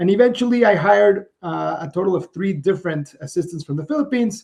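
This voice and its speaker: A man's lively intonation comes at a fairly quick pace. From Mexico. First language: Spanish. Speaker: entrepreneur. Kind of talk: interview. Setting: podcast.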